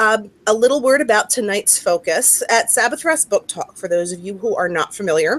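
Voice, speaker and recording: A woman speaking at a fairly quick pace with very wide pitch swings, in a dry, close sound with no echo. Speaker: book talk host, author. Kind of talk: casual online book discussion.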